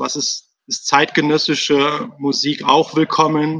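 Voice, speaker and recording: A man talks at a fairly slow pace in a fairly high pitch. He has a normal speaking voice. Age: 30s. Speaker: pastor. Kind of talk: casual interview.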